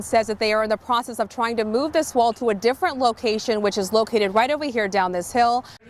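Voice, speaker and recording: A woman with a fairly high pitch and fairly even intonation talks very fast amid noticeable background noise. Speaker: television news anchor and reporter. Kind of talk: broadcast news reporting. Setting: outdoors, on-location stand-up report.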